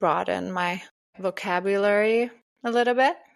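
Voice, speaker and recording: Ordinary pitch variation in a very clean recording, with a silent background. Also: woman. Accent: Norwegian. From Norway. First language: Norwegian. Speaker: podcast co-host. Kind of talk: casual chat.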